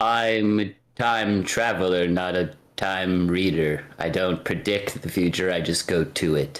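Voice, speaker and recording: Using a put-on character voice, a man talks at a fairly slow pace in a very deep, low pitch. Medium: actual play. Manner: cryptic, paradoxical.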